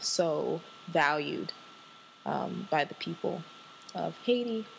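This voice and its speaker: A woman with a slight Southern US accent speaks at a fairly low pitch with vocal fry. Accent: slight US Southern twang. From Washington, D.C. area. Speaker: podcast host. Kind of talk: casual solo monologue. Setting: home recording. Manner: animated, laughing often.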